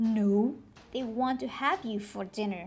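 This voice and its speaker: A put-on character voice from a female-sounding speaker, fairly high in pitch and fairly slow. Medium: read story.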